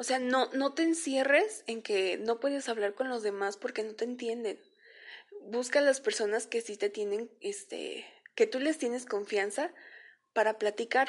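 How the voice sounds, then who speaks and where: A woman with a high pitch talks at a fairly slow pace against a quiet background. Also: ordinary pitch variation. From Mexico, Veracruz. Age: 20s. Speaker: podcaster. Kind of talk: personal testimony monologue. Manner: hesitant, many fillers.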